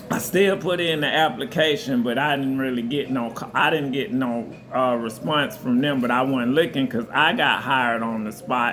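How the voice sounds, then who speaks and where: A man talks at a moderate pace with hardly any pauses, amid audible room echo and noticeable background noise. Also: medium pitch for a man, ordinary pitch variation. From US South, southern Georgia. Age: 40s. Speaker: restaurant server, vlogger. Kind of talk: casual storytelling vlog.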